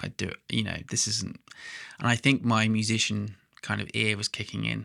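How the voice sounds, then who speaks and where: The recording is very clean, with a silent background. The tone comes through bright and sharp. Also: man. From Suffolk, England. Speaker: photographer and vlogger. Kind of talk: personal storytelling vlog. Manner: hesitant with fillers.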